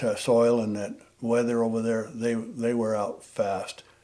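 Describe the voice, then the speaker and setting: Against noticeable background noise, a man with an American accent speaks at medium pitch and a fairly slow pace. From Nevada. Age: 70s. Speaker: war veteran and bowhunter. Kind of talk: casual chat.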